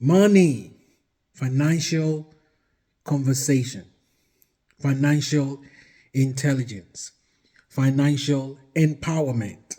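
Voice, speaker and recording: Speaking very slowly with a Nigerian accent, a man uses a fairly high, somewhat breathy voice with a dark, mellow tone and ordinary pitch variation. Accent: Nigerian (Yoruba) English. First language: Yoruba. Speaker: marriage advice vlogger. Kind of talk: casual talk to camera. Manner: hesitant, with fillers.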